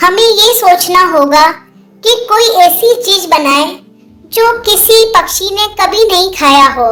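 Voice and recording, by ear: A female-sounding, cartoonish character voice at an extremely high pitch. It moves at a fairly slow pace.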